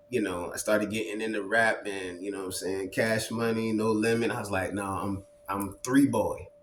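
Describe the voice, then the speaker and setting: In an American accent, a man with a fairly low pitch speaks at a moderate pace in a monotone, flat intonation with hardly any pauses, amid noticeable background noise and audible room echo. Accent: Southern US, Lowcountry (Geechee) tinge. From Charleston, South Carolina. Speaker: poet and entrepreneur. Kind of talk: casual interview chat. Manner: halting, many fillers.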